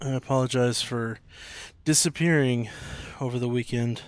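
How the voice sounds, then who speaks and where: In a very clean recording with a silent background, a soft-spoken man talks fairly slowly at a medium pitch with fairly even intonation. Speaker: video game streamer. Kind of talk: gameplay stream commentary. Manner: quiet, soft-spoken.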